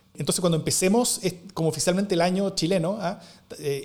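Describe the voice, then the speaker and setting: A man is speaking. He goes at a very fast pace. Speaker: podcast co-host. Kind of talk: casual political discussion. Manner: halting, repeats words.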